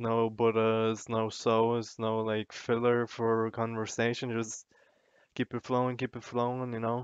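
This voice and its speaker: A man's voice sits at a medium pitch with monotone, flat intonation. The sound is dry and close with no echo, over a quiet background. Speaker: youtuber. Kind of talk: casual vlog monologue. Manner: stammering, repeats words.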